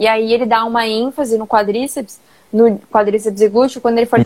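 Delivered at a fairly quick pace, the speech stays monotone with flat intonation. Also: woman. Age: 20s. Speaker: personal trainer. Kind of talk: casual live-stream chat.

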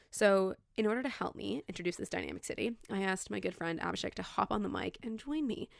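A woman at a fairly quick pace, on a very clean recording with a silent background. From Toronto, Canada (Leaside). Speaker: podcast host, university program staff. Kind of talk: scripted narration; casual chat.

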